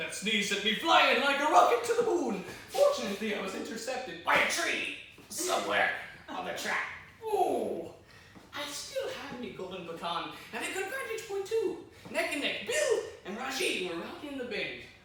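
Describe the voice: In a put-on character voice, a man speaks at an extremely high pitch with very wide pitch swings, a bright, sharp tone and a moderate pace, amid strong room echo.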